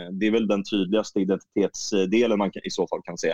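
An unremarkable speaking voice from a man, fairly low in pitch, at a moderate pace, with a dry, close sound and no echo. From Stockholm region, Sweden. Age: 30s. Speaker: women's football coach. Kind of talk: interview.

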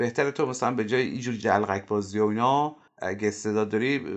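A man is speaking. His pace is very fast. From Iran, Mashhad. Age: 40s. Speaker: humor researcher and satirist. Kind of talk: casual interview chat.

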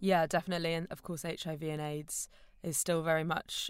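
A woman with a British accent speaks at a fairly quick clip in a fairly low voice, her intonation fairly even. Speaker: podcast co-host. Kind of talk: casual chat.

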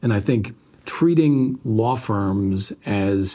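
This is a man speaking. He has a New York State accent. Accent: American, New York State. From upstate New York, Albany. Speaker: law firm managing partner. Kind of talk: interview conversation.

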